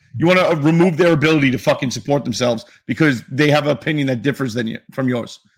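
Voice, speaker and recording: With an American accent, the speaker goes at a very fast pace with hardly any pauses, sounding somewhat breathy and showing ordinary pitch variation. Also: man, fairly high pitch for a man. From New York City. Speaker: sports podcast co-host. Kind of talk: casual chat.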